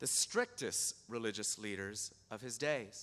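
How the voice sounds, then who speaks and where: A man's bright, sharp voice with vocal fry, at a very slow pace. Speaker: pastor. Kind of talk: sermon. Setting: church.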